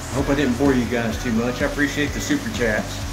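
A man is speaking. Clear music plays behind him. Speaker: handyman live streamer. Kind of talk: casual live stream chat. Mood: relaxed, winding down. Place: bathroom. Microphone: phone near.

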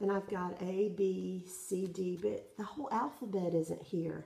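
With a Southern US accent and fairly even intonation, a woman talks in a room with audible echo. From South Carolina, US South. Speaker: cross-stitch vlogger. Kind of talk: casual show-and-tell vlog. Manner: hesitant, many fillers. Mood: friendly, relaxed. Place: home room. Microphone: phone near.

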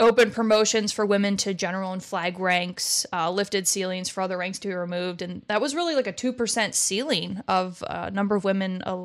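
Against a quiet background, a woman talks at a fairly quick pace with hardly any pauses and ordinary pitch variation. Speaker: podcast host. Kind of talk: history explainer on a webcast. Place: home room. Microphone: studio mic.

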